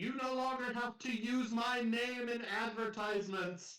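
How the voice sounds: A man adopts a put-on character voice pitched extremely high, keeping a moderate pace.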